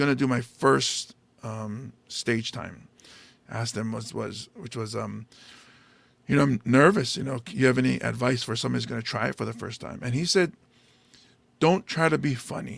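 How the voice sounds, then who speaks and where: With a Hawaiian accent, a man speaks at a moderate pace and medium pitch, with lively intonation. Vocal fry runs through his voice. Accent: Hawaiian local English. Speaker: stand-up comedian and podcast host. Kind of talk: casual chat.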